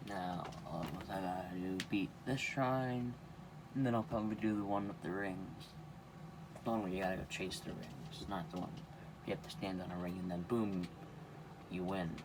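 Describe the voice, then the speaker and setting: A man with a very deep, low pitch speaks quietly at a moderate pace, with lively intonation and long, frequent pauses. Audible room echo surrounds his voice. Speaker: gaming youtuber. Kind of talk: gameplay commentary. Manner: casual.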